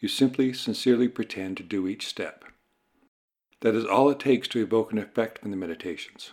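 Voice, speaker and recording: A man speaks in a plain, everyday voice at a medium pitch, with ordinary pitch variation. His pace is fairly quick, and the recording is very clean with a silent background. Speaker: meditation teacher. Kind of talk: guided meditation.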